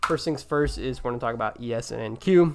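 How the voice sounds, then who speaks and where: Noticeable background noise sits behind a man's voice. He talks fairly quickly, with ordinary pitch variation. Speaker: stock trading youtuber. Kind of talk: market watchlist commentary. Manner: casual, with many fillers.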